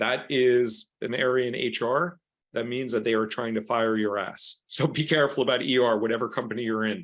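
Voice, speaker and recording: The speaker talks at a fairly quick pace in an American accent, keeping the intonation fairly even. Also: man, medium pitch for a man. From New York. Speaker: career coach. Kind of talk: workshop presentation. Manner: fast.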